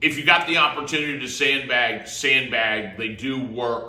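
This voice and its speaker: With an unremarkable speaking voice, a man speaks fairly slowly at a medium pitch and with ordinary pitch variation. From Florida. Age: 50s. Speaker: real estate agent. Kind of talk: casual talk to camera.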